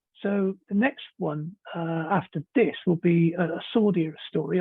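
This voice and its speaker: In a British accent, a man with a high pitch speaks at a moderate pace with ordinary pitch variation. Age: 60s. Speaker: novelist. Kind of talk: interview.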